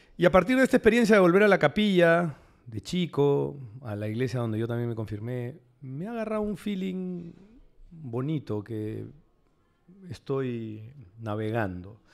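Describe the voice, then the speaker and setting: Here a man is heard on a very clean recording with a silent background. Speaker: psychoanalyst and writer. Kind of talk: panel discussion.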